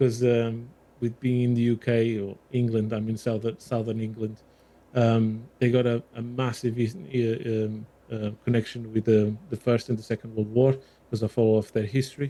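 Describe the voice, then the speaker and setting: A man's medium-pitched voice with a slight Portuguese accent, a dark, mellow tone, a moderate pace and monotone, flat intonation. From Portugal. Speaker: armoured vehicle restoration volunteer. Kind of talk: podcast interview.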